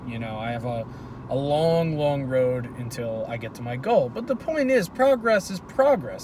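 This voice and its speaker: A man at a moderate pace, his pitch swinging very widely, over noticeable background noise. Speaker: vlogger. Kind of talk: casual monologue. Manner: stuttering, hesitant.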